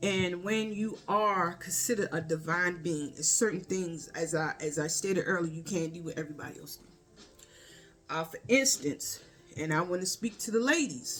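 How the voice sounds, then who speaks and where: In a Baltimore accent, a woman speaks at a moderate pace with a fairly low pitch and ordinary pitch variation. Her loudness swings widely, with music in the background. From Baltimore, US. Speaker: spiritual vlogger. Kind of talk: casual spiritual monologue.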